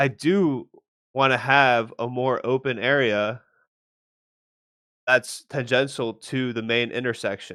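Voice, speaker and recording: On a very clean recording with a silent background, a man speaks very slowly with long, frequent pauses. His tone is bright and sharp, and his intonation fairly even. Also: medium pitch for a man. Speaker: architecture student. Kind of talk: presentation. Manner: halting, repeated words.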